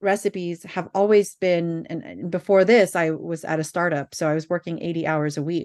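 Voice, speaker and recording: Against a quiet background, a woman with an American accent speaks at a moderate pace with fairly low pitch and fairly even intonation, the sound dry and close with no echo. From US West Coast, San Francisco Bay Area. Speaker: food blogger and homesteading mom. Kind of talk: casual interview.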